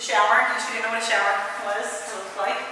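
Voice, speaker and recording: A woman's voice in strong room echo, with light background noise. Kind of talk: casual vlog chat. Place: empty room. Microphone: camera far.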